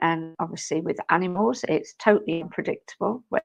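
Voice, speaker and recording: Recorded dry and close with no echo against a quiet background, a woman with a British accent speaks at a fairly quick pace. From UK. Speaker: spiritual medium and live stream co-host. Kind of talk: live stream chat. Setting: live stream.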